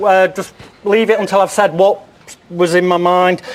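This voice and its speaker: There is noticeable background noise behind this man. His pitch is high. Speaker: psychic. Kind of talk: TV chat show segment.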